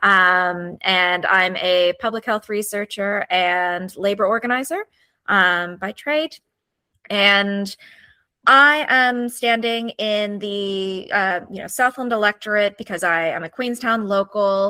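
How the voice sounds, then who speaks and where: A woman with an American accent and a bright, sharp tone speaks at a very slow pace with ordinary pitch variation, in a dry, close sound with no echo. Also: medium pitch for a woman. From United States. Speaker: political candidate. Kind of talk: interview.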